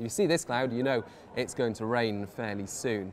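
Light background noise sits under the recording. A man talks at a moderate pace. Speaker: presenter. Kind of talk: explainer to camera. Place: cafe.

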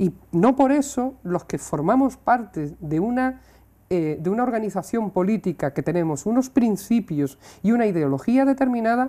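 A woman talks at a moderate pace with a dark, mellow tone. Her pitch swings very wide. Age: 50s. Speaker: local politician. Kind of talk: interview. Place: studio. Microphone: lapel.

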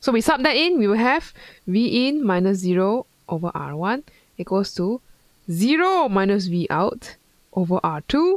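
A woman's voice with very wide pitch swings and a fairly slow pace, dry with no echo, over a quiet background. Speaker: physics tutor. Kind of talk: tutorial. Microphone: headset.

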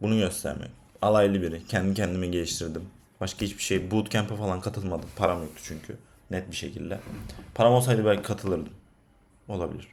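Fairly quick and fairly low in pitch, a man speaks with audible room echo. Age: 20s. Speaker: freelance data scientist and vlogger. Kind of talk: casual vlog monologue. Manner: animated, conversational.

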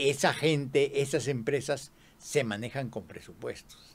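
Somewhat breathy, a man speaks at a very slow pace in a fairly high pitch. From Peru. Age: 80s+. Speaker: retired television producer; interview guest. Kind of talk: interview. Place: studio. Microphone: studio mic.

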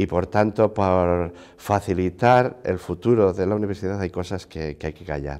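Against a quiet background, a man with a very deep, low voice speaks at a moderate pace, his pitch varying an ordinary amount while his loudness swings widely. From Spain, Segovia province; Spain. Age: 60s. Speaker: university rector; interviewee. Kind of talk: interview. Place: office. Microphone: lapel.

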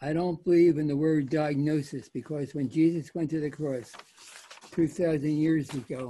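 A man talks at a moderate pace with fairly even intonation and a fairly high pitch. His tone is dark, mellow and somewhat breathy. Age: 80s+. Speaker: retired neurosurgeon; guest. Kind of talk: testimony. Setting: video call. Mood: earnest faith testimony. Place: home room. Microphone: video call.

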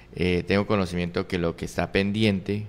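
A man talks with a very deep, low pitch and ordinary pitch variation. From Colombia, Arauca department; Colombia. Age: 40s. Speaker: political candidate; candidate. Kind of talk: interview. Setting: studio. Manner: halting. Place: studio. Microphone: studio mic.

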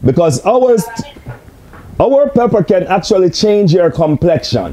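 This man has a high-pitched voice with lively intonation. His pace is fairly slow. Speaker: host answering remote viewer. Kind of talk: casual explanation answering questions. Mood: friendly, joking. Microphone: camera far.

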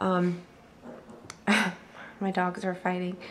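Noticeable background noise sits behind the recording. A woman talks at a fairly slow pace. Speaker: beauty vlogger. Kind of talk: tutorial. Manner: casual with many ums.

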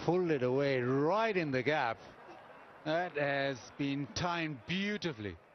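Using an ordinary speaking voice, a man talks at a fairly high pitch and a fairly slow pace, with lively intonation and very even loudness. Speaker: cricket commentator. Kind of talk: live cricket commentary. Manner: conversational, appraising shots with pundit-style remarks.

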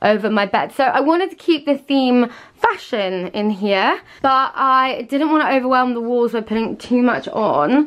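This is a woman speaking. Her pitch is high. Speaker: lifestyle vlogger. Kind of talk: casual vlog chat. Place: home room. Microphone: phone near.

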